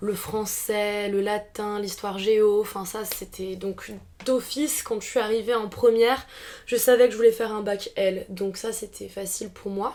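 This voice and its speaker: Fairly high-pitched woman's voice with a dark, mellow tone, monotone, flat intonation and a fairly slow pace. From France, Alsace. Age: 20s. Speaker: philosophy student. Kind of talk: podcast interview. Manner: hesitant, many fillers.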